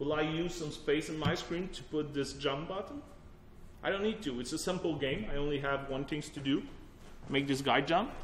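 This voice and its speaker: Amid noticeable background noise and audible room echo, a man with a fairly high pitch and ordinary pitch variation speaks at a moderate pace. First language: French. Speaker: technology evangelist, workshop presenter. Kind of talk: technical workshop presentation. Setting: workshop room with audience. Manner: casual, conversational with fillers.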